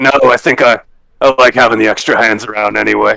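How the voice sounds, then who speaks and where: A man does a raspy, put-on character voice at a medium pitch and a fairly quick pace. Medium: actual play.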